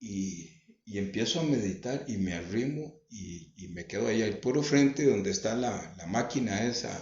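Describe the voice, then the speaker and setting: A man with a Costa Rican accent speaks at a medium pitch and a fairly slow pace, with lively intonation and big swings in loudness. His voice is somewhat breathy, and the room echo is audible. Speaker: religious home broadcaster. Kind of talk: testimony.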